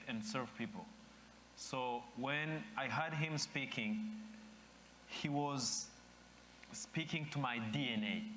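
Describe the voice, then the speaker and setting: With an East African accent, a man speaks very slowly in a fairly high voice, with very wide pitch swings, long, frequent pauses, and audible room echo. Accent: East African accent, noticeable. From Rwanda. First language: Kinyarwanda or French (English is fourth language). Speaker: speaker at dedication ceremony. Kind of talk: ceremonial speech.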